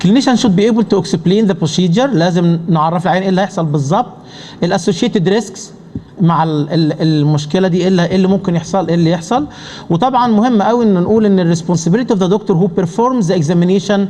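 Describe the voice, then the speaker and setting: A man with an Arabic accent and high pitch talks at a very fast pace with ordinary pitch variation and very even loudness, amid audible room echo and noticeable background noise. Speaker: pulmonology professor. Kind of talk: conference lecture. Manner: halting.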